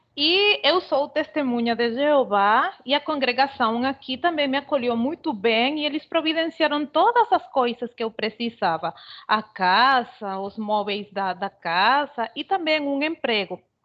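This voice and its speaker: A woman's high voice with very wide pitch swings, a fairly slow pace and a Venezuelan accent. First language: Spanish (speaking Portuguese). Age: 40s. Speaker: immigrant seamstress. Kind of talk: panel talk, personal account. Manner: halting, with hesitations.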